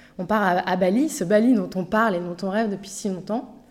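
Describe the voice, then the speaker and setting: Her delivery is fairly quick, and her intonation stays fairly even. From Paris, Montmartre. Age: 40s. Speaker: podcast guest, mother who moved abroad. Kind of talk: interview testimony. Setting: improvised studio. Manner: hesitant, many fillers.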